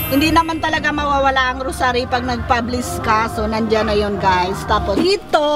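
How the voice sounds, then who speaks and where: With music in the background and audible room echo, a woman talks at a fairly quick pace with hardly any pauses. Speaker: vlogger. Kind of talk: casual vlog. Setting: outdoors. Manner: loud.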